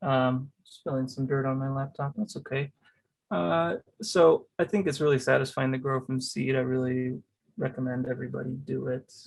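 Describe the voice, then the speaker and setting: Moderate pace, medium pitch and ordinary pitch variation in a man's voice. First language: Spanish. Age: 30s. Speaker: cactus grower. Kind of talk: casual interview. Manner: halting, many fillers.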